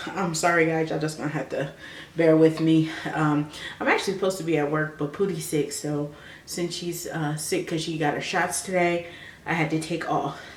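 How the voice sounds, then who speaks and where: With audible room echo, a woman talks at a fairly quick pace in a very deep, low pitch and a monotone, flat intonation. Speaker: vlogger. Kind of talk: personal advice vlog. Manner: soft-spoken.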